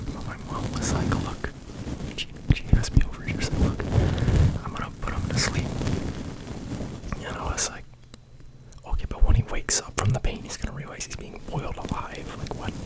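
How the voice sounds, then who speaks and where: Whispering at a fairly quick pace, broken by long, frequent pauses, over noticeable background noise. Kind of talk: ASMR soft rambling. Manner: whispered, very quiet; soft-spoken.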